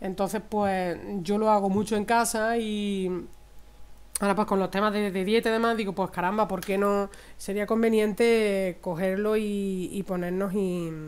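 Her intonation changes little, staying fairly even. The woman talks at a fairly slow pace. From Spain, Andalusia (Córdoba province); Andalusia. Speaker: cooking channel host. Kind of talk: cooking tutorial. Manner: warm, chatty with frequent diminutives. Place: kitchen.

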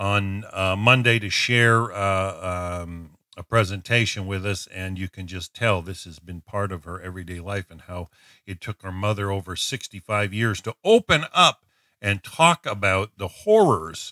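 Against a quiet background, a man speaks at a fairly low pitch and a fairly slow pace. His tone is bright and sharp, and the sound is dry with no echo. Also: fairly even intonation. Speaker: online show host. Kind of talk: casual show host talk. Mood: warm, slightly hesitant.

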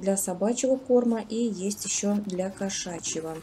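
A woman's somewhat breathy, dark, mellow voice at a fairly slow pace with fairly even intonation, over light background noise. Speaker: shopping vlogger. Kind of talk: product price review narration. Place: shop. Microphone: phone near.

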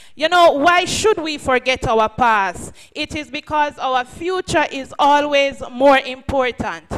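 A woman speaks very slowly in a high pitch. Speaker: speaker. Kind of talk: sermon-style address. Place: hall. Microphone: podium.

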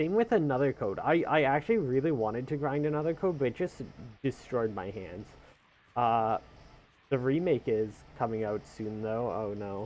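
Here is a man with a plain, everyday voice at a medium pitch. He speaks at a moderate pace with lively intonation. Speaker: video game streamer and speedrunner. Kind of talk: live-streamed gameplay commentary. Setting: live stream from a home setup. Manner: casual and chatty.

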